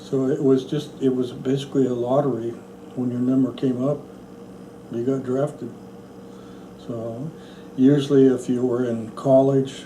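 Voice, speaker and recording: A man with an American accent at a medium pitch and moderate pace, monotone and flat, with long, frequent pauses, audible room echo and noticeable background noise. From central Oregon, US. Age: 70s. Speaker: National Guard veteran. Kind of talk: oral history interview.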